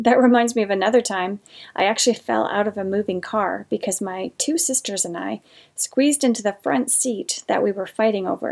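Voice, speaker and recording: With a fairly high pitch, ordinary pitch variation and a moderate pace, a woman speaks in a plain, everyday voice. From northern Canada. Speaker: painter and art channel host. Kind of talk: life story told while painting, casual storytelling to camera. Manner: warm, conversational; reflective, sincere.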